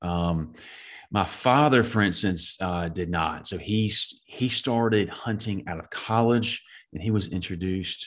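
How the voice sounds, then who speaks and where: A man speaks at a fairly slow pace in a Southern US accent. His pitch varies in an ordinary way against a quiet background. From US Southeast. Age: 30s. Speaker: deer habitat manager and podcast host. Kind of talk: casual interview.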